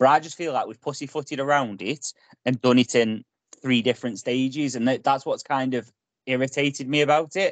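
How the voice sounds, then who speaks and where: A man with an unremarkable speaking voice, medium pitch and fairly even intonation, at a fairly quick pace, in a dry, close sound with no echo. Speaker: football podcast host. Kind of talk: casual banter chat.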